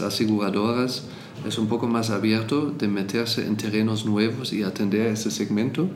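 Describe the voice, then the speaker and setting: Fairly slow speech from a man amid audible room echo and noticeable background noise. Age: 50s. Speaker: insurance executive. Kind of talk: interview.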